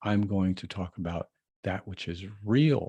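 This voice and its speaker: A man speaks very slowly in a very deep, low voice. The sound is dry and close, with no echo. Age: 70s. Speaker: vlogger and astrologer. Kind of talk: casual vlog monologue. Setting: recording on a video call app at home. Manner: halting, many fillers.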